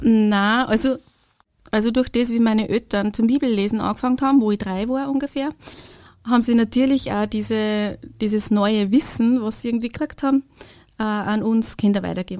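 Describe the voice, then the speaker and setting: Fairly high in pitch, a woman talks at a moderate pace with fairly even intonation in an unremarkable speaking voice. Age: 40s. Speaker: kindergarten language support worker. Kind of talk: testimony.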